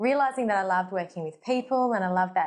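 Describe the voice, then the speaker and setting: Speaking with an Australian accent, a woman uses medium pitch and ordinary pitch variation. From Australia, Gold Coast. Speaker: medical doctor. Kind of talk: casual talk to camera.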